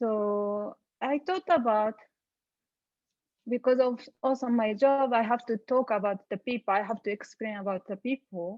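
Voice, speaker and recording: A woman speaks with a Japanese accent. Her pitch is fairly high. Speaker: panelist. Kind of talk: panel discussion. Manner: halting.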